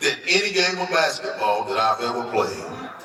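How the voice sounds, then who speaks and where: Over noticeable background noise, a man talks with audible room echo. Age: 60s. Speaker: hall of fame inductee, former basketball player. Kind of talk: acceptance speech.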